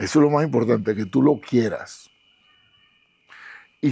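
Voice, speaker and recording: A man's voice of fairly high pitch carries a dark, mellow tone. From Venezuela, Caracas. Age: 70s. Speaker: show jumping course designer and coach. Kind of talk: interview. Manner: halting.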